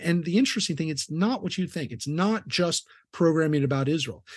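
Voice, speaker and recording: A man with a Californian accent, fairly high-pitched, at a fairly quick pace. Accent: Californian American. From Southern California. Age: 50s. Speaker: rabbi. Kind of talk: interview conversation.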